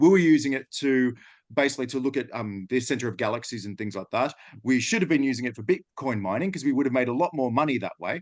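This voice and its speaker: A man speaks very fast with an Australian accent at a medium pitch and ordinary pitch variation. The background is quiet. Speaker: data and AI consultant. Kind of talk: webinar presentation.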